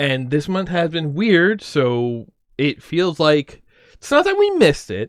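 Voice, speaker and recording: A man speaks at a fairly slow pace with a fairly high pitch. His intonation is lively. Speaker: streamer. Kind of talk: casual chat. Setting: livestream. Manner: loud; animated.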